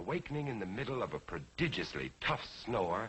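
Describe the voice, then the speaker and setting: A man's theatrical delivery with very wide pitch swings. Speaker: narrator. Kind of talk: story narration. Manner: eloquent, theatrical.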